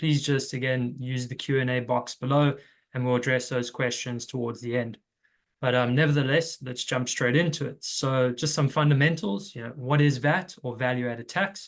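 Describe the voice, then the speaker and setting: At a moderate pace, a man with a South African accent speaks at a medium pitch with fairly even intonation. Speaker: tax recovery consultant. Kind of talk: webinar presentation.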